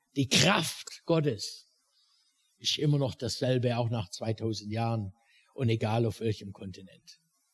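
At a fairly slow pace, a man speaks in a somewhat breathy voice of medium pitch with ordinary pitch variation. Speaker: preacher; missionary. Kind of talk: sermon, preacher in full flow, impassioned and rhetorical. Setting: church with live audience. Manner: animated, fervent, building intensity.

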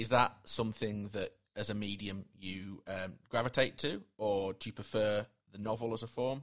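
A man speaks at a moderate pace with hardly any pauses, his pitch fairly low and his intonation fairly even. He has a normal speaking voice. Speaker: podcast host. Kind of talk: interview.

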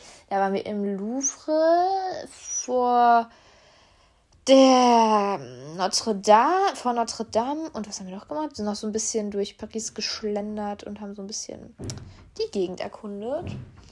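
A woman with a fairly high pitch speaks at a fairly slow pace, with long, frequent pauses, ordinary pitch variation and big swings in loudness. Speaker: podcast host. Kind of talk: casual solo podcast chat. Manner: chatty, informal, with fillers.

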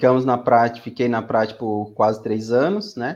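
This man's voice sits at a medium pitch, and his intonation stays fairly even. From Brazilian Northeast, Aracaju (Sergipe). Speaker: pharmacist, cleaning validation specialist. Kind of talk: interview.

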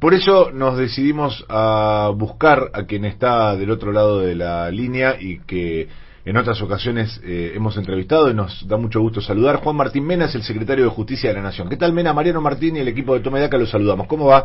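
The voice is somewhat breathy. It moves at a fairly quick pace with hardly any pauses. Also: man, medium pitch for a man. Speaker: radio host. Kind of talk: radio talk show.

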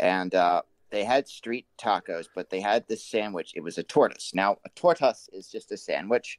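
A man with an unremarkable speaking voice, fairly low in pitch, talks at a moderate pace. His intonation is lively, his loudness swings widely, and the sound is dry and close with no echo. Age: 30s. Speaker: guest. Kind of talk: casual chat.

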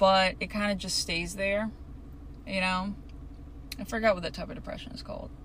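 A woman is heard with audible room echo. Noticeable background noise runs underneath. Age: 20s. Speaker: solo podcaster. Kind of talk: casual solo monologue.

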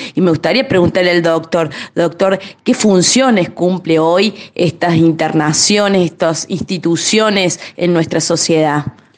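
Over noticeable background noise, a woman with a fairly low pitch speaks fairly slowly, her loudness very even and her pitch variation ordinary. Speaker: physician, co-presenter. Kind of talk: radio interview.

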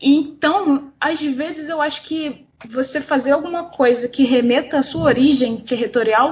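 This woman's voice sits high in pitch. Background noise is noticeable. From Campo Grande, West Zone of Rio de Janeiro, Brazil. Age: 20s. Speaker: art teacher and comic artist. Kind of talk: casual chat.

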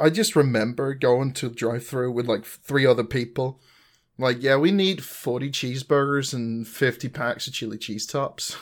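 Recorded very cleanly against a silent background, a man with a Danish accent speaks at a moderate pace and medium pitch with ordinary pitch variation. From Denmark. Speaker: podcast co-host. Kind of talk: casual chat.

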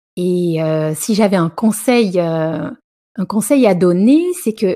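A woman's dark, mellow voice with lively intonation at a fairly slow pace, on a very clean recording with a silent background. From southern France. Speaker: media entrepreneur. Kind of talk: interview. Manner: halting, many hesitations.

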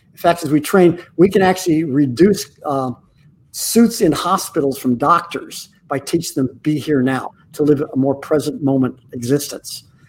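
Here a man talks at a moderate pace, somewhat breathy. His pitch is fairly high. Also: ordinary pitch variation. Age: 80s+. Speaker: corporate culture consultant. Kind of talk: interview. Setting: video call.

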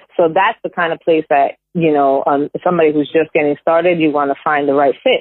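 With a plain, everyday voice, a woman talks at a fairly quick pace and ordinary pitch variation. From New York. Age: 40s. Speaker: real estate agent. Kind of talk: casual interview chat.

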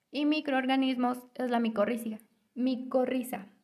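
At a fairly slow pace, a woman with a central Mexican accent speaks in a high, monotone voice with flat intonation. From Mexico, State of Mexico (Temascalcingo). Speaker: university student. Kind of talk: scripted student podcast presentation. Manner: formal.

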